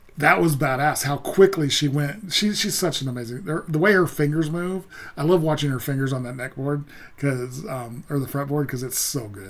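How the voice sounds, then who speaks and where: A man mumbles at a fairly high pitch, with ordinary pitch variation. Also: moderate pace. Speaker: music reaction youtuber. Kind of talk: casual commentary. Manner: halting, many fillers; mumbling.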